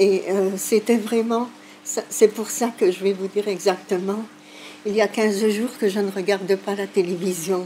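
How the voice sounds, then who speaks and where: A woman at a medium pitch and fairly slow pace over noticeable background noise. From Sicily, moved to Belgium aged 2. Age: 60s. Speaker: elderly migration witness. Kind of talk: testimony. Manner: hesitant, with fillers.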